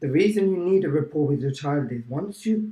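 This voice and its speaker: This man's voice has a dark, mellow tone, is somewhat breathy, and moves through ordinary pitch variation. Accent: British. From England. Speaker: teacher. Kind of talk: casual chat.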